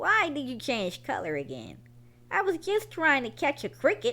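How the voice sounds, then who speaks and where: Put-on character voice from a woman, high in pitch, delivered at a moderate pace. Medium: read story.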